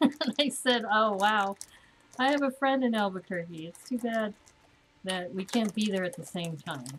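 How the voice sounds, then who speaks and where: This woman's voice is fairly high and somewhat breathy. She talks at a moderate pace with lively intonation. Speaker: LEGO building streamer. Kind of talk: live stream building chat. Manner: casual, chatty.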